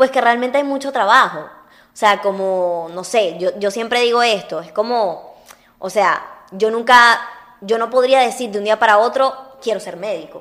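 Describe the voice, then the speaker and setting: With big swings in loudness and ordinary pitch variation, a woman with a fairly high pitch speaks in an ordinary speaking voice. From Venezuela (Uruguayan-born). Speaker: actress. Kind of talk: casual chat.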